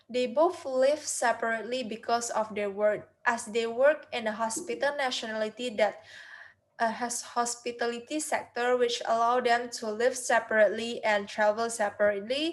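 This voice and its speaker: In an Indonesian accent, a woman speaks at a moderate pace and high pitch with ordinary pitch variation. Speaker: university student. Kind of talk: class presentation. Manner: halting.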